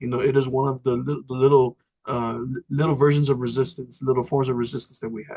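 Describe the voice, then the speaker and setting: Speaking at a very fast pace with a Spanish accent, a man uses a medium pitch, fairly even intonation and a dark, mellow tone that is somewhat breathy. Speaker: state legislator. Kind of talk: panel conversation. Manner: frequent fillers and code-switching.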